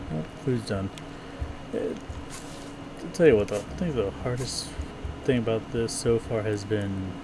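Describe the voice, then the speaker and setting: There is audible room echo and noticeable background noise as a man talks at a fairly slow pace. His pitch is medium, and his intonation is lively. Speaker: gaming streamer. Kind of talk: let's play commentary.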